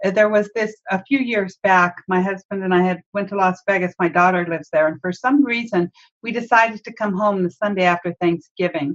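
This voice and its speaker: At a medium pitch, a woman speaks in a normal speaking voice with ordinary pitch variation. Her pace is fairly quick with hardly any pauses, and the sound is dry and close with no echo. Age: 50s. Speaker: podcast host and marketing coach. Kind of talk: casual chat. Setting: video call.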